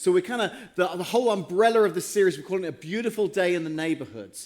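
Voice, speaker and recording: A man speaks at a very fast pace with an English accent. His voice is high, with ordinary pitch variation. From England. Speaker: pastor. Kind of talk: sermon. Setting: church.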